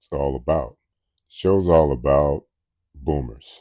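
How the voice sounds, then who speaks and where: A man talks at a fairly slow pace in a very deep, low pitch, with ordinary pitch variation. His tone is dark and mellow, and the background is quiet. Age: 70s. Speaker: fitness show host for seniors. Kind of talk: casual talk to camera.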